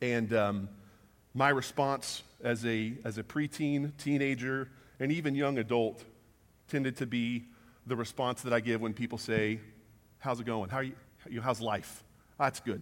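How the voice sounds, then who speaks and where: A man speaks at a moderate pace with medium pitch and fairly even intonation, leaving long, frequent pauses, in a very clean recording with a silent background. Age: 30s. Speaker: guest preacher. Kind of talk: sermon. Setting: church.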